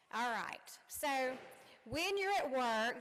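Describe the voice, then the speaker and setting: High-pitched woman's voice in a strong Southern US accent, with noticeable background noise. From Louisiana. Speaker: commencement speaker, college dean. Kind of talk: commencement speech. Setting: stage with audience. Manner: animated.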